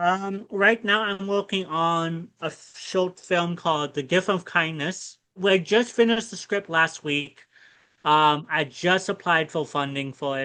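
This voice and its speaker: Against a quiet background, a man speaks fairly slowly in a high pitch with a bright, sharp tone and ordinary pitch variation. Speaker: actor and filmmaker. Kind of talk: interview conversation. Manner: halting, many fillers and restarts.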